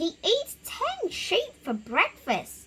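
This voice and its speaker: In a put-on character voice, a woman squeaks at an extremely high pitch with very wide pitch swings. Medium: read story. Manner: loud, excitable.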